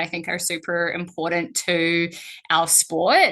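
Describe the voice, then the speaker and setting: With a New Zealand accent and a quiet background, a woman speaks at a fairly slow pace in a fairly low voice with a bright, sharp tone. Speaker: strength and conditioning coach. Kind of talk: webinar presentation.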